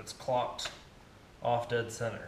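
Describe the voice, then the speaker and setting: The speech comes at a fairly slow pace, with light background noise and audible room echo. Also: man. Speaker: machinist and fabricator YouTuber. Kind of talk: workshop tutorial vlog. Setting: home workshop. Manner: casual with frequent fillers. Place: garage. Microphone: phone near.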